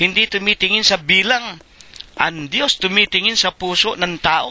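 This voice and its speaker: In a raised, projected voice with a bright, sharp tone, a man speaks at a fairly slow pace in a dry, close sound with no echo. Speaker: church preacher leading a Bible study. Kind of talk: sermon / Bible study preaching.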